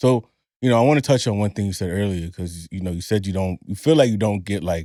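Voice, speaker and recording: A man with a very deep, low voice and a dark, mellow tone talks at a very fast pace. The sound is dry and close with no echo, and the recording is very clean with a silent background. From Honduran heritage. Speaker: podcast host. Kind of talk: casual chat.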